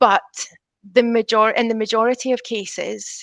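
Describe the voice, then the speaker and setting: At a moderate pace, a woman with a Scottish accent speaks in a monotone, flat way, in a dry, close sound with no echo. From Scotland. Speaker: teacher. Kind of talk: panel discussion. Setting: video call.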